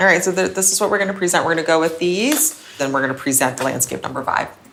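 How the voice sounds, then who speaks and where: A woman speaks at a very fast pace with lively intonation. Noticeable background noise runs underneath. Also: fairly low pitch for a woman. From moved around; Taiwan-born, raised partly US (DC, Boston). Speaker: company founder, interior designer. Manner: casual, with fillers like 'um' and 'like'.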